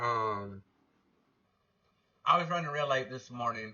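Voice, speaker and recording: A man speaks with an Alabama accent. His intonation is lively. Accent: Southern US (Alabama). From North Alabama. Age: 30s. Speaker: podcast host, livestreamer. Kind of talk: livestream commentary. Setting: livestream. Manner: loud; casual, filler-heavy.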